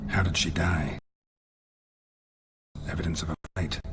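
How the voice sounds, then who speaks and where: A man does a put-on character voice with a very deep, low pitch. His pace is moderate. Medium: video game. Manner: terse, clipped, dry.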